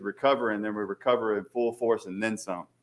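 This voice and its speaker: A man with a Southern accent at a fairly quick pace, on a very clean recording with a silent background. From Louisiana. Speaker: aviation consultant. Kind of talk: presentation to city council. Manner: halting, many fillers.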